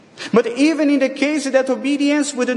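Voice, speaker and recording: Amid noticeable background noise, a man with a non-native accent speaks at an extremely high pitch with ordinary pitch variation. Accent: foreign accent, non-native. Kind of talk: sermon. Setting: church. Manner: formal.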